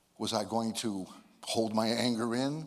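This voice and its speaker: A man talks at a very slow pace. Room echo is audible. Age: 70s. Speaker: motivational speaker. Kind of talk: speech to a live audience. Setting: stage with audience.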